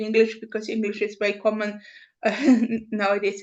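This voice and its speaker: A woman's voice with a non-native accent against a quiet background. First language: not English. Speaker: publisher representative. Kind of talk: online conference remarks. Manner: halting.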